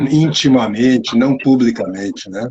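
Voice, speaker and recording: A man's unremarkable speaking voice at medium pitch and a fairly slow pace. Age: 60s. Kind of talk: interview. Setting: live stream video call.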